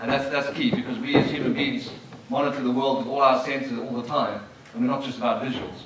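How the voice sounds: A man talks fairly quickly at a medium pitch, his tone fairly bright. His intonation stays fairly even amid strong room echo.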